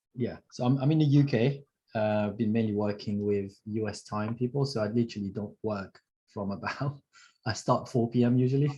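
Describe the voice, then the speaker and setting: A man speaks at medium pitch and a fairly quick pace with a Mauritian accent. His tone is dark, mellow and somewhat breathy, with fairly even intonation. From Mauritius. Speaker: sales closer, student of sales training. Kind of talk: testimonial interview on livestream.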